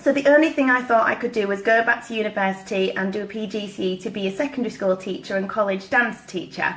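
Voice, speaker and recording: A woman with a Yorkshire accent talks at a fairly quick pace in a fairly high pitch. Noticeable background noise runs underneath. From East Yorkshire, northern England. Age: 30s. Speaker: network marketing consultant. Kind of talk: personal story talk.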